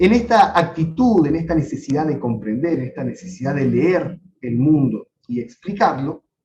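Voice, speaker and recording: A man's fairly high voice with a dark, mellow tone and vocal fry, lively intonation, a moderate pace, and hardly any pauses. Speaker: professor. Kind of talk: lecture.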